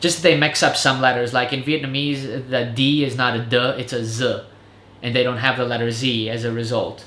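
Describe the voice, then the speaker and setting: Audible room echo surrounds a man with an American accent who speaks in fairly even intonation. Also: medium pitch for a man, fairly quick pace. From Serbo-Croatian-speaking family, raised partly in Germany then US. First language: Serbo-Croatian. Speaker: vlogger and English teacher. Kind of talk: casual chat. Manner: casual, filler-heavy.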